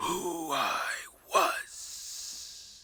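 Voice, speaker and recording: A man does a raspy, put-on character voice. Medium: read story. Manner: terse, grave.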